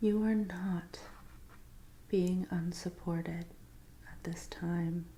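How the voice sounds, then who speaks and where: This soft-spoken voice moves at a very slow pace. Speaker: tarot reader. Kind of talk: ASMR tarot reading roleplay.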